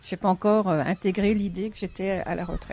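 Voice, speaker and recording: A woman with a plain, everyday voice, medium in pitch, at a moderate pace. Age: 60s. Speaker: retiree interviewee. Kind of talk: interview.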